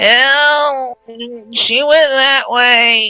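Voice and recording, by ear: A whiny put-on character voice plays over faint music in the background.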